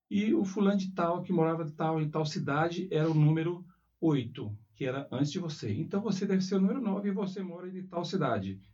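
A man's high voice at a fairly quick pace, ordinary pitch variation, audible room echo. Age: 40s. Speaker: school principal. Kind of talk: interview. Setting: school.

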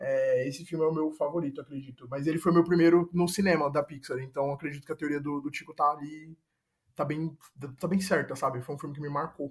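At a fairly quick pace, a man talks in a fairly high, somewhat breathy voice with fairly even intonation. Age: 20s. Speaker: advertising professional. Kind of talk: casual chat. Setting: video call.

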